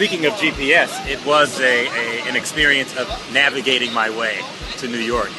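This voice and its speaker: Music plays behind a man speaking at a moderate pace. His medium pitch shows ordinary variation. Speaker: creative director. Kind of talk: interview answer.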